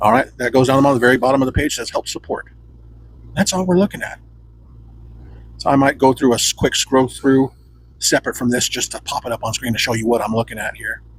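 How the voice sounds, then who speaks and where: Very fast but broken by long, frequent pauses, a man speaks at a medium pitch with ordinary pitch variation. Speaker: tech reviewer. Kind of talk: tutorial. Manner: casual.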